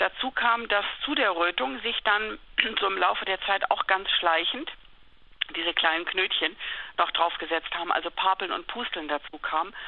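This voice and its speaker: At a moderate pace, a woman of medium pitch speaks with lively intonation and long, frequent pauses. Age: 50s. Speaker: journalist and patient. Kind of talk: interview.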